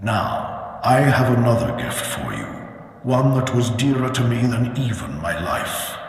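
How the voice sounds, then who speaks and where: A man does a put-on character voice at medium pitch and a fairly slow pace. There is a strong echo. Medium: machinima. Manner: solemn, portentous.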